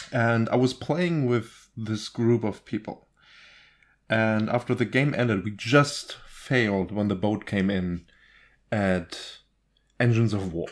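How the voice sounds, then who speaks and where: Speaking at a fairly slow pace with a non-native accent, a man uses a medium pitch and ordinary pitch variation, leaving long, frequent pauses. The recording is very clean, with a silent background. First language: not English. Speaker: gaming YouTuber. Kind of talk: gameplay rant. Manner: animated; halting.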